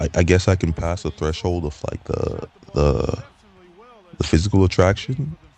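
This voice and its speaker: Over noticeable background noise, a man speaks with a very deep, low pitch and ordinary pitch variation. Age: 20s. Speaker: vlogger. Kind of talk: personal monologue vlog. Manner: halting, many fillers and repeats.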